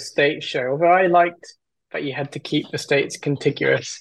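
Fairly even intonation runs through a man's fairly high-pitched voice. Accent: English. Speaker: caller, new parent. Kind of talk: casual call-in game chat. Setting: video call. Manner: halting.

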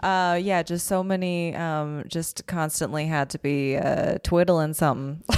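Using an unremarkable speaking voice with a Canadian accent, a woman at a fairly low pitch talks at a moderate pace with fairly even intonation and hardly any pauses, in a very clean recording with a silent background. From Calgary, Canada. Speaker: comedian and writer. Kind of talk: casual chat.

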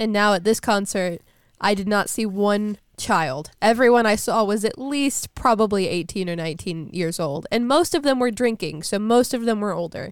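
An unremarkable speaking voice from a woman, medium in pitch with lively intonation at a moderate pace, on a very clean recording with a silent background. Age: 19. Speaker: college student, podcast co-host. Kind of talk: casual chat.

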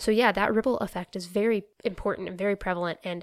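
Recorded very cleanly against a silent background, a woman with an American accent and a plain, everyday voice speaks at a fairly quick pace with fairly even intonation. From North Carolina. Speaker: environmental educator. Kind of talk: casual chat.

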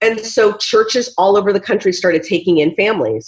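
A woman speaks at a moderate pace with an American accent, in a normal speaking voice. Her pitch sits in the medium range. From US Pacific Northwest. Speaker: TV writer and showrunner. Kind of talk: interview.

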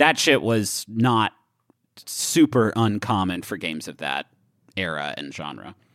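Speaking at a fairly slow pace in a fairly low voice, a man swings very widely in pitch and greatly in loudness, in a dry, close recording with no echo that is very clean with a silent background. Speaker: podcast co-host. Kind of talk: casual banter, podcast chat.

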